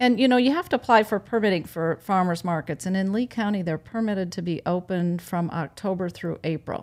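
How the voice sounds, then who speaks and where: A woman with an American accent and an ordinary speaking voice talks at a fairly quick pace, her medium pitch varying in an ordinary way. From Wisconsin. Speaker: farmers market organizer. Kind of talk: casual interview.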